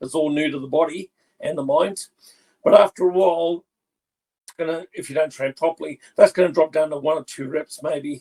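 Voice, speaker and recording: In a dry, close recording with no echo, a man with a fairly high yet dark, mellow voice talks at a fairly quick pace, with fairly even intonation and big swings in loudness. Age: 60s. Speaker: bodybuilder and personal trainer. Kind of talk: casual interview.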